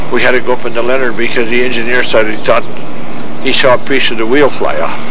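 Noticeable background noise runs behind a man talking at a fairly quick pace. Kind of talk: oral history interview answer. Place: open country.

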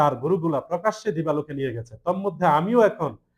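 High pitch from a male speaker, varying in an ordinary way. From Bangladesh, Cumilla (Daudkandi/Meghna). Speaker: deed writer. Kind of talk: press conference statement. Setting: press conference. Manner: halting, with frequent pauses.

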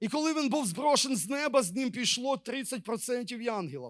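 This man's voice sits high for a man, with lively intonation at a moderate pace. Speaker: preacher. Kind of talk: sermon.

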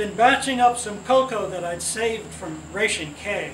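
A man talks at a fairly slow pace with a high pitch and ordinary pitch variation, with light background noise and audible room echo. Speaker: relative reading poetry at a gathering. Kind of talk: poetry reading. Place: garden. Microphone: camera far.

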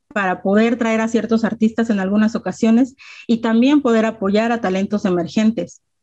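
Somewhat breathy, the voice has a dark, mellow tone. Its intonation is fairly even over a quiet background. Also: woman. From Mexico, Mexico City area (Ecatepec); Mexico City, Mexico. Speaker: rapper and self-defense instructor; panelist. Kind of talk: presentation with slides. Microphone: video call.

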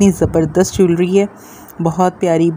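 With a normal speaking voice, a woman talks at a fairly low pitch and a moderate pace, her intonation fairly even, over light background noise. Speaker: shopping vlogger. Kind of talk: casual vlog chat. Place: market. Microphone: phone near.

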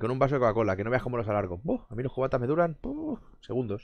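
A man speaks in an animated tone. The background is quiet and the sound is dry, with no echo. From Barcelona, Spain; Spain. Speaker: gaming streamer. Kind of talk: casual chat with live stream viewers. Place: home room. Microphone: headset.

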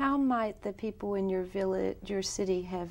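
A woman speaking at a moderate pace. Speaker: interviewer. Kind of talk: interview. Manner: formal. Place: studio.

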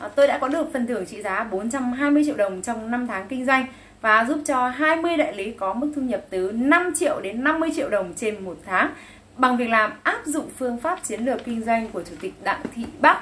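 At a fairly quick pace, a woman speaks in a high voice with lively intonation. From northern Vietnam, Bac Giang; northern Vietnam. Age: 30s. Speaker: cosmetics sales distributor; sales agent promoting a business. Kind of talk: sales pitch. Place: home room. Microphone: phone near.

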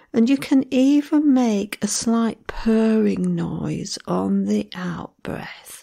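Calm and gentle in tone, a woman talks at a very slow pace with hardly any pauses. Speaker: meditation guide. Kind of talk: guided breathing meditation with metronome counting. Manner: slow, gentle, soothing pacing with long pauses; calm instructional cues, sparse one-word prompts.

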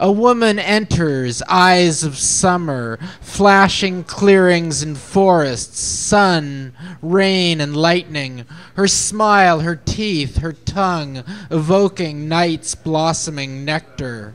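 A man speaks very slowly in a high voice, with ordinary pitch variation. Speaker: open mic poet. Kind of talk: poetry reading, spoken word, ornate surreal imagery read aloud then letter read out. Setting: open mic night. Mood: lyrical, sensual recitation. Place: cafe.

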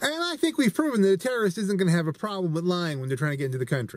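A man's voice comes through with a dry sound and no echo. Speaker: vlogger. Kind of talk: casual opinion vlog commentary. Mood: earnest, explanatory. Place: car. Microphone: phone near.

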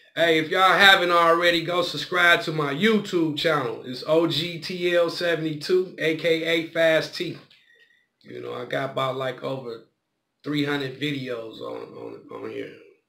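A man's bright, sharp voice at a fairly slow pace, with big swings in loudness and ordinary pitch variation. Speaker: vlogger. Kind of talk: casual vlog chat. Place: home room. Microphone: phone near.

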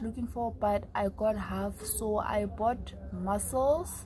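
A woman speaks at a very slow pace. Light background noise is present. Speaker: vlogger. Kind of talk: casual vlog chat. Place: home room. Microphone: phone near.

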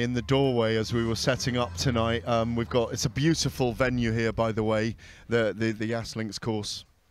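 Faint music plays behind a man of medium pitch, and the sound is dry with no echo. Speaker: play-by-play commentator. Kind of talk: live boxing commentary, play-by-play. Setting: outdoors at venue. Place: stadium.

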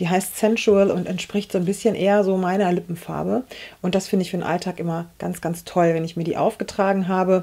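Fairly even intonation in a woman's dark, mellow, medium-pitched voice. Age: 40s. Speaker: beauty YouTuber. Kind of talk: makeup tutorial. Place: home room.

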